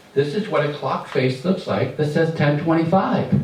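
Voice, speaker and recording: A man's fairly high voice at a moderate pace, with noticeable background noise and audible room echo. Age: 60s. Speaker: stand-up comedian. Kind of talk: stand-up. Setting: stage with audience. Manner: animated.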